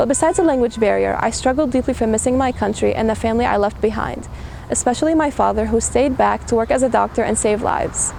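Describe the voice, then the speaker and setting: A woman talks at a very fast pace. Noticeable background noise runs under her voice. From Syria. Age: 20s. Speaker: graduating student and student government president. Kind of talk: commencement speech.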